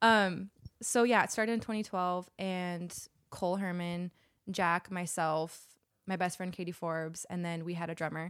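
A woman with an American accent has an unremarkable speaking voice, a fairly low pitch, and fairly even intonation. She goes at a moderate pace on a very clean recording with a silent background. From Utah, Salt Lake City. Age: 30s. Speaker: musician and astrology enthusiast. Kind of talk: casual chat.

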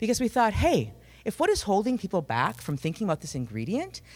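With an American accent, a woman talks at a very fast pace and fairly low pitch, her voice showing vocal fry and very wide pitch swings. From Minnesota. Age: 40s. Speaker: company CEO. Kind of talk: pitch presentation. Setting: stage with audience.

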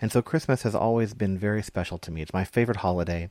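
Over a very clean recording with a silent background, a man talks at a very fast pace. His fairly low voice has a dark, mellow tone. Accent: Texan. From Texas. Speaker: pastor. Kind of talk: sermon. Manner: halting.

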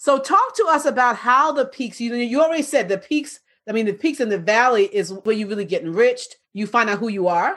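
A woman talks at a high pitch with very wide swings and an animated tone. Her pace is fairly quick, with hardly any pauses. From New York. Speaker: podcast host, business coach. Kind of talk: interview.

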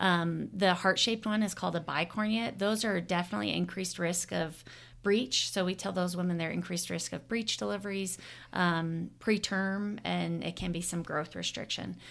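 A woman with an American accent speaks in a normal speaking voice at a fairly low pitch, with ordinary pitch variation. The recording is very clean, with a silent background. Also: moderate pace. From Arizona. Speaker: obstetrician-gynecologist. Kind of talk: interview.

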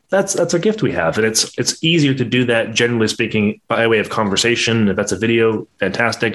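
A man talks with hardly any pauses and very even loudness. His medium pitch carries lively intonation. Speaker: podcast host. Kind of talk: interview. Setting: live virtual reality broadcast. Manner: fast.

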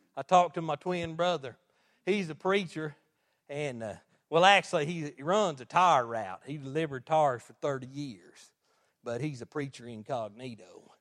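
With an animated tone and a fairly high pitch, a man talks at a moderate pace with ordinary pitch variation in a dry, close sound with no echo. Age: 40s. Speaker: lay preacher. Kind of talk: sermon. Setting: church.

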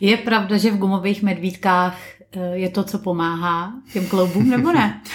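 This woman's voice sits at a medium pitch and is somewhat breathy. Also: fairly even intonation, moderate pace. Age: 30s. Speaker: podcast host. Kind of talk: casual interview.

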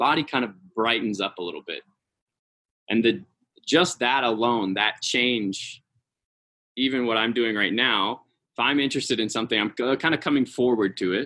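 This speaker has an American accent and a bright, sharp tone, with ordinary pitch variation at a moderate pace. The background is quiet. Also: man. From US West Coast, San Francisco Bay Area. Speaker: professional dancer and choreographer. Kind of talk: casual interview. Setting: video call.

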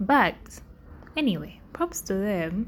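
Her pitch medium and somewhat breathy, a woman speaks with very wide pitch swings. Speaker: podcast host. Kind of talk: casual monologue. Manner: halting.

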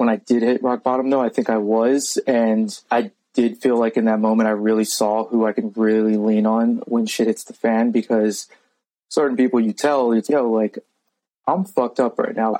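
With an American accent, a man speaks at a medium pitch and fairly even intonation, in an ordinary speaking voice. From Virginia. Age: 30s. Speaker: army veteran. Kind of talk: casual chat.

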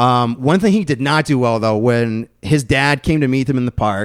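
An ordinary speaking voice at a moderate pace, with ordinary pitch variation. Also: man. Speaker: podcast host. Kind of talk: casual chat.

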